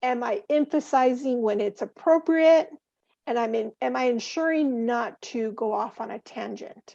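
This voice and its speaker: Fairly slow speech from a woman with a high pitch, a dark, mellow tone, lively intonation, and a quiet background. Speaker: banker and interview coach. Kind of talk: webinar advice.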